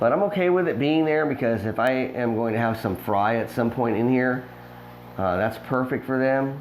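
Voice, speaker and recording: A man at a moderate pace with ordinary pitch variation, amid noticeable background noise and audible room echo. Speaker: fish breeder and aquarium hobbyist. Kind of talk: casual video tour. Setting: indoors in a fish room. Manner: casual with many fillers.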